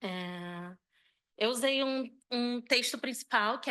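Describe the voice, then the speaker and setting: A woman speaks at a very slow pace in a bright, sharp tone. The background is quiet. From Brazil, Rio de Janeiro. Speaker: architect and curator. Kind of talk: conference presentation. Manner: halting, hesitant.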